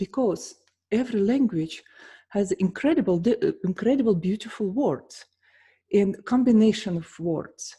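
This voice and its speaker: This woman's voice is somewhat breathy, with a dark, mellow tone, fairly high pitch, lively intonation, a moderate pace and a Russian accent. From Russia, St. Petersburg. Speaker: pianist and vocal coach. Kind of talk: casual vlog talk.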